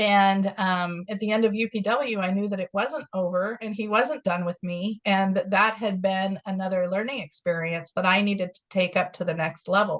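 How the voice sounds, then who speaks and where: A woman with an ordinary speaking voice talks at a moderate pace and medium pitch, with fairly even intonation and hardly any pauses. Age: 50s. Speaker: wellness coach. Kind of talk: interview.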